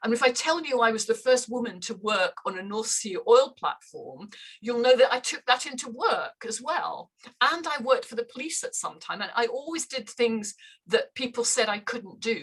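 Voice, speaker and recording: In a Scottish accent, a woman speaks at a moderate pace with a high voice. Her intonation is lively, and her loudness swings widely. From northern Scotland. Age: 70s. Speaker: runner. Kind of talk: casual chat.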